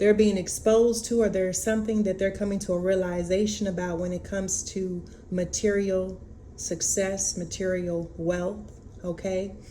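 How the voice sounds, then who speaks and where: The woman's voice sits at a medium pitch, with fairly even intonation and a moderate pace. Audible room echo surrounds her. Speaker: tarot reader. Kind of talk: oracle card reading. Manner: halting, many fillers.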